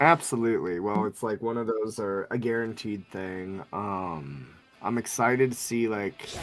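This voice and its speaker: There is noticeable background noise as a man with a fairly low voice talks at a moderate pace, his pitch varying in an ordinary way. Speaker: vtuber streamer. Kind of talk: casual chat.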